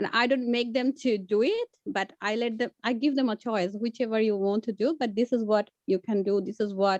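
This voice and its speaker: Fairly even intonation with a Bengali accent, in a dry sound with no echo and a quiet background. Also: woman. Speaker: community language teacher; teacher sharing classroom experience. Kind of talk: workshop discussion. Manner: halting. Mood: calm, reflective. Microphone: video call.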